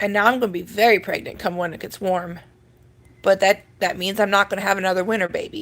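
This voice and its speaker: Using an American accent, a woman talks very fast at a medium pitch with fairly even intonation. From Minnesota. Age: 30s. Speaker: livestreamer. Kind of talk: casual chat. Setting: live video stream at home. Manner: chatty, informal.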